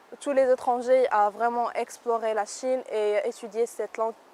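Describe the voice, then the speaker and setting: Speaking with an Arabic accent, a woman uses a fairly high pitch and fairly even intonation. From Morocco. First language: Arabic (speaking French). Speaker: university student. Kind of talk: interview. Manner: hesitant, many fillers.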